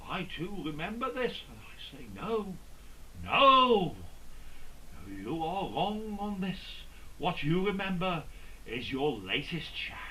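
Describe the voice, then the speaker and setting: Amid noticeable background noise and audible room echo, a man speaks at a very slow pace in a raised, projected, high-pitched voice, with lively intonation, big swings in loudness and long, frequent pauses. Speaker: comedian. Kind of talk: stand-up.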